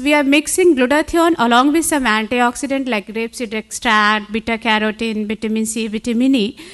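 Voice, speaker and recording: Against a quiet background, a woman with a high pitch talks at a moderate pace with ordinary pitch variation. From India. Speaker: conference speaker on cosmetology; conference speaker. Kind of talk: conference talk. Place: hall.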